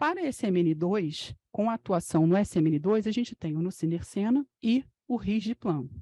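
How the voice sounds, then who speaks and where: A woman with a medium pitch speaks with lively intonation and a dark, mellow tone, the sound dry and close with no echo against a quiet background. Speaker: physician lecturer. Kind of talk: medical lecture.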